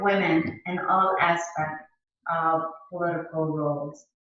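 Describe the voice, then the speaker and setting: There is music in the background and audible room echo as a woman speaks with ordinary pitch variation. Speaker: local political candidate. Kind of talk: campaign message.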